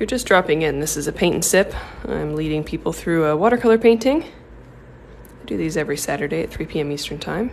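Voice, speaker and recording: With an American accent, a woman speaks in a very deep, low pitch at a fairly quick pace, using lively intonation, big swings in loudness and hardly any pauses, over light background noise. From US Pacific Northwest, Seattle. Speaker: watercolor artist; art instructor. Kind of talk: tutorial. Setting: livestream. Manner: casual with frequent filler ums. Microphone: phone near.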